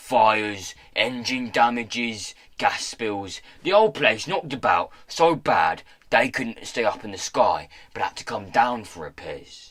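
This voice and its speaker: Using a put-on character voice, a man speaks fairly slowly at a middle pitch. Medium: read story. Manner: coarse, chummy, working-class slang.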